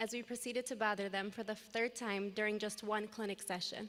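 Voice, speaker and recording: With an American accent, a woman speaks at a fairly quick pace in a fairly high pitch. Her voice is shaky and her intonation fairly even. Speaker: graduating student, class president. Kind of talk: commencement speech. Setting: graduation ceremony with audience.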